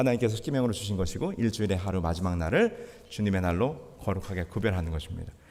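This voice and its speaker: A man's voice is heard with audible echo from the room. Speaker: pastor. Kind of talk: sermon. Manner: halting.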